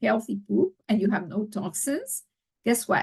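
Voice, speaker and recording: A woman with a fairly high voice and vocal fry speaks at a moderate pace in a dry, close sound with no echo. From Mexico. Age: 60s. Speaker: children's health coach. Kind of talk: podcast interview. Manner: animated.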